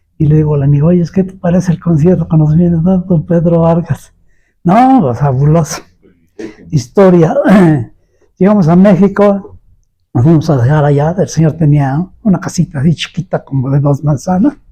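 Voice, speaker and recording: A man's high-pitched voice with a dark, mellow tone, ordinary pitch variation, a moderate pace, and long, frequent pauses. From Puebla, Mexico. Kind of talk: oral history interview answer. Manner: storytelling, nostalgic.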